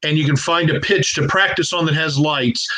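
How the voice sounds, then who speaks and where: This man keeps his intonation fairly even. His pace is moderate. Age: 60s. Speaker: youth rugby coach. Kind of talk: casual interview. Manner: halting, many fillers and restarts.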